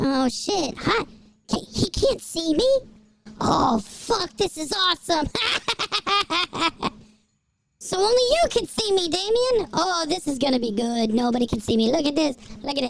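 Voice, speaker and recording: Using a squeaky, high-pitched put-on character voice, the speaker moves at a moderate pace with very wide pitch swings and long, frequent pauses. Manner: gleeful, mischievous.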